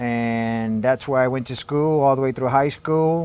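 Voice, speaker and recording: A man with an unremarkable speaking voice talks at a moderate pace, his intonation fairly even. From Lawrence, Massachusetts, US (Puerto Rican family). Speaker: retired Marine sergeant major. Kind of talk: podcast interview.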